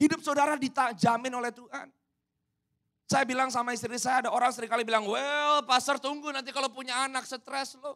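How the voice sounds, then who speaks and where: This man's voice is raised and projected, at an extremely high pitch with a bright, sharp tone. He speaks at a fairly quick pace with an animated tone. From Indonesia. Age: 30s. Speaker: pastor. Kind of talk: sermon.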